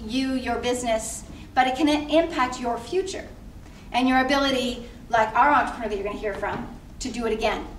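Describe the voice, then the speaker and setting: With an American accent, a woman talks in a high pitch with ordinary pitch variation, and audible room echo can be heard. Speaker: nonprofit CEO, panel speaker. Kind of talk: speech to audience. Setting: stage with audience.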